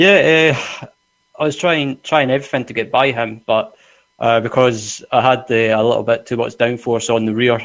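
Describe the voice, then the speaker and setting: With a Scottish accent, a man speaks at a moderate pace. His voice sits at a medium pitch with ordinary pitch variation. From Scotland. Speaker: sim racing driver. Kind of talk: post-race interview.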